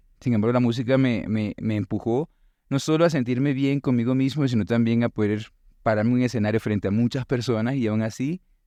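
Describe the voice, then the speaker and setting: With a Venezuelan accent, a man of medium pitch speaks in a dark, mellow tone with ordinary pitch variation. The sound is dry and close with no echo, over a quiet background. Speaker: teacher and musician. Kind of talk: interview conversation.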